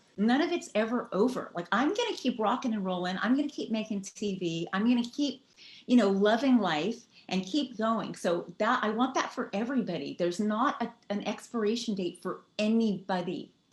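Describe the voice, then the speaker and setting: Fairly high and somewhat breathy, a woman's voice carries an animated tone and lively intonation. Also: moderate pace. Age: 60s. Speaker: rock singer. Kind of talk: interview.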